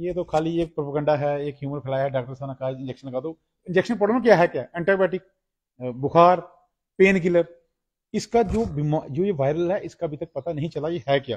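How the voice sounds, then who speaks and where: Over a quiet background, a man speaks at a moderate pace with a fairly high pitch and ordinary pitch variation, leaving long, frequent pauses. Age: 40s. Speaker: cow shelter caretaker and activist; interviewee. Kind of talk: on-site interview. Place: farm. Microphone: lapel.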